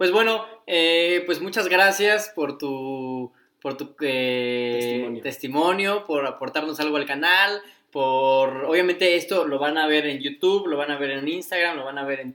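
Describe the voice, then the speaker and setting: An ordinary speaking voice. It moves at a fairly slow pace with ordinary pitch variation. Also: man. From Mexico, Cuernavaca, Morelos. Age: 20s. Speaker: podcast co-host. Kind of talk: casual chat.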